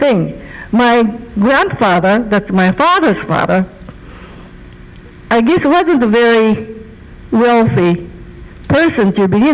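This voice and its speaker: Speaking very slowly, a woman leaves long pauses again and again. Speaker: speaker, witness. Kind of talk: personal history talk. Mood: calm, reflective. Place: church. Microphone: handheld.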